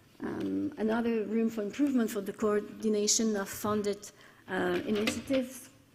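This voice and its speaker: Fairly high pitch from a woman, with noticeable background noise. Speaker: conference speaker on cooperation programme. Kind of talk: conference presentation. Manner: halting, many fillers.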